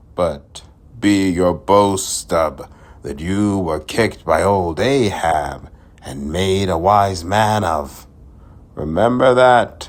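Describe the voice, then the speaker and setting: On a very clean recording with a silent background, a man uses a gruff, put-on character voice with a very deep, low pitch at a very slow pace. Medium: solo performance. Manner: gruff, muttering, lecturing.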